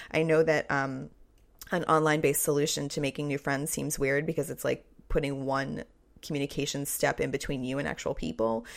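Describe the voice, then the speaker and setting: Very deep and low for a woman, her voice carries vocal fry and a monotone, flat intonation at a fairly quick pace. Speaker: podcast host and writer. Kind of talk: solo podcast, answering listener questions. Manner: fast; casual, frequent fillers.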